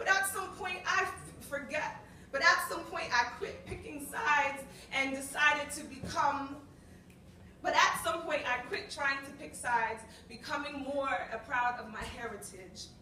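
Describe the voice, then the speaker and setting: Raising and projecting her high voice, a woman speaks at a fairly slow pace with lively intonation and big swings in loudness. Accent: American. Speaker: spoken word poet. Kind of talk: spoken word poetry performance. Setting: live open mic, cafe audience.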